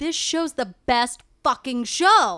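This very clean recording has a silent background and a voice with an American accent. The tone is bright and sharp, with ordinary pitch variation. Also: woman. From Connecticut. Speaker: memoir writer. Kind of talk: casual chat.

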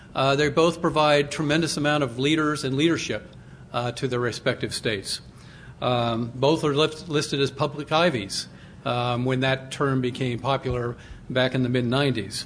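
A man with a plain, everyday voice speaks at a moderate pace with a medium pitch and fairly even intonation. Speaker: panel moderator, alumni association head. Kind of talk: moderating a panel.

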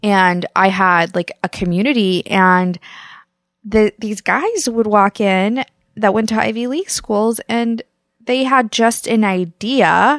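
A woman with a Midwestern US accent speaks at a fairly slow pace, her fairly high voice showing ordinary pitch variation. The recording is very clean with a silent background and dry, close sound with no echo. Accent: General American, Midwest. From US Midwest, Kansas. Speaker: podcast co-host. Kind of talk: casual chat.

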